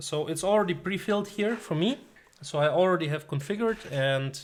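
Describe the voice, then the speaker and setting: A man talks at a fairly quick pace with lively intonation and a non-native accent. The recording is very clean, with a silent background. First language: not English. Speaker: tech tutorial youtuber. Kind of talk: tutorial. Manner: many filler sounds (uh, um).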